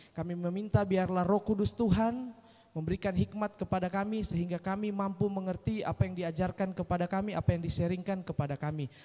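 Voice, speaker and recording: A man with a high pitch speaks at a very fast pace in fairly even intonation, with hardly any pauses. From Indonesia. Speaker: event emcee. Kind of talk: church event hosting. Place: church. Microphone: handheld.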